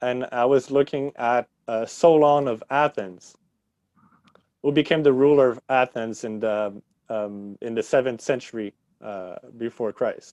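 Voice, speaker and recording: A man with a Quebec French accent at medium pitch, ordinary pitch variation and a fairly slow pace, in a dry, close sound with no echo. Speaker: history teacher. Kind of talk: podcast interview. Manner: halting, many fillers.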